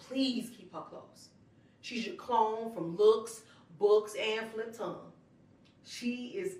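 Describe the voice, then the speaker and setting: Fairly slowly, a woman speaks in an ordinary speaking voice, fairly high in pitch. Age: 40s. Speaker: spoken word artist. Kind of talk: spoken word letter to younger self. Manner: casual, sassy.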